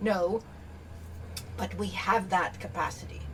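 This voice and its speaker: A woman speaks over noticeable background noise. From Canada. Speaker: keynote speaker and business advisor. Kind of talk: podcast interview.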